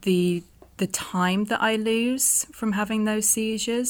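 A woman talks at a fairly slow pace with ordinary pitch variation. She has a normal speaking voice. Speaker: adventurer and epilepsy advocate. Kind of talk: casual interview. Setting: video call.

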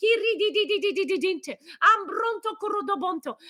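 At a fairly quick pace, a woman speaks with passion in an extremely high, bright, sharp voice, recorded dry and close with no echo. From Switzerland. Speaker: pastor. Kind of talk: fervent, passionate prayer in tongues, intercession with rising intensity. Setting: live online broadcast. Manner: passionate, urgent, fervent.

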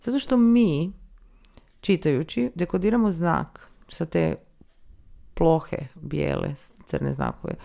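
A woman speaks at a very slow pace with long, frequent pauses, on a very clean recording with a silent background. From Croatia, near Čakavian-speaking area. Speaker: audiobook app co-founder. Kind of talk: interview. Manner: animated.

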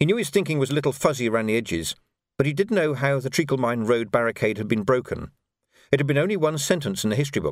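Over a quiet background, lively intonation runs through an unforced reading voice.

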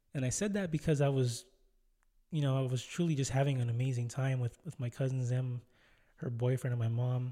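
A man's somewhat breathy voice with a dark, mellow tone, fairly even intonation and a fairly quick pace, on a very clean recording with a silent background. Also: medium pitch for a man. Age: 20s. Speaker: solo podcast host. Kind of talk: casual monologue.

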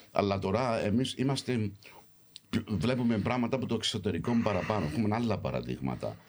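A man with a fairly low pitch and vocal fry speaks at a fairly quick pace. His intonation is lively and his loudness very even. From London, England, of Cypriot family. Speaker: actor. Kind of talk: casual chat. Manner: animated.

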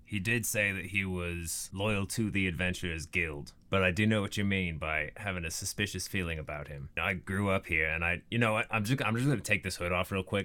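A man puts on a gruff character voice with a very deep, low pitch at a moderate pace on a very clean recording with a silent background. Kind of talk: casual.

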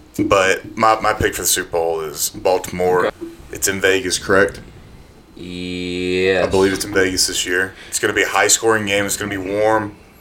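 A man with a Southern US accent speaks at a moderate pace in a fairly low pitch. His intonation is flat and monotone, and there is noticeable background noise. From North Alabama. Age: 20s. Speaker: podcast guest, former college football player. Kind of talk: casual chat.

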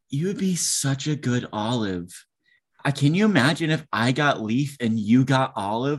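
This is a plain, everyday voice. The man speaks at a medium pitch with lively intonation against a quiet background. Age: 20s. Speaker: actor and podcast co-host. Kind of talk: casual chat.

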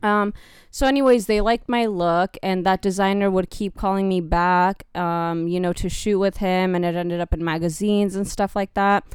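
A woman with an American accent speaks at a moderate pace and a medium pitch, with hardly any pauses. She has a plain, everyday voice and fairly even intonation, and the recording is very clean with a silent background. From California, of Mexican descent. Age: young. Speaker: model. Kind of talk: casual chat.

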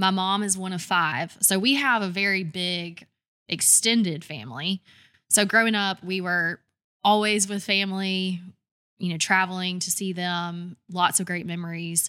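The speaker is a woman with a Southern US accent. Her pitch sits in the medium range. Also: fairly slow pace. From Georgia, US South (Douglasville, near Atlanta). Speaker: brand design agency owner. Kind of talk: interview conversation.

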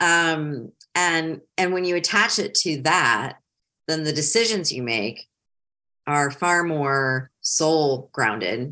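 Against a quiet background, a woman with an American accent speaks at a very slow pace, her very deep, low pitch set off by a bright, sharp tone and lively intonation. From Ohio and Metro Detroit, US Midwest. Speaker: career coach and consultant. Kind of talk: casual interview.

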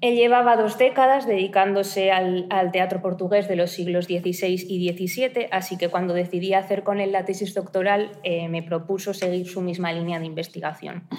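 Noticeable background noise sits behind a woman's medium-pitched voice. She keeps a moderate pace with hardly any pauses and fairly even intonation. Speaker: doctoral researcher. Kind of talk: academic presentation. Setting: university seminar room.

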